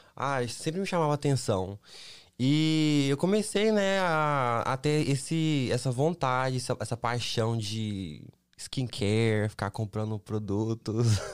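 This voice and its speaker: Very slow speech from a man with lively intonation, on a very clean recording with a silent background. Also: medium pitch for a man. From Brazil, Minas Gerais (Belo Horizonte). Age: 20s. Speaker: model and influencer. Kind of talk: casual chat. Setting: studio.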